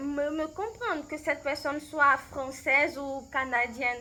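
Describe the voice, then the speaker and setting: Using a raised, projected voice, a woman with a Beninese accent speaks very slowly at a high pitch in a bright, sharp tone. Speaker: language coach. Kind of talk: recorded interview answers. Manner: halting, many hesitations and repetitions.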